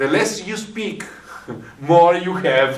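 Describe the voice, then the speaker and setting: There is noticeable background noise and audible room echo. A man with an Italian accent talks at a fairly high pitch. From Italy. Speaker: hypnotist. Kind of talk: interview conversation. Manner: halting, many fillers.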